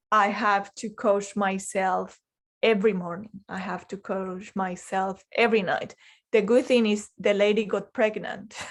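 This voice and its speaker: A woman at medium pitch with a non-native accent, monotone and flat, at a fairly slow pace, on a very clean recording with a silent background. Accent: foreign. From Colombia. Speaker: life coach. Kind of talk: interview.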